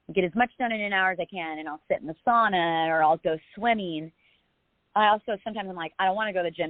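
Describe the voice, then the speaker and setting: A woman talks at a very fast pace. Her pitch sits fairly low for a woman, with ordinary variation. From US, moved around (New Jersey, Texas, Southern California). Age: 30s. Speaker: singer-songwriter and entrepreneur sharing abuse survivor story. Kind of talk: podcast interview testimony. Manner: casual, halting with fillers.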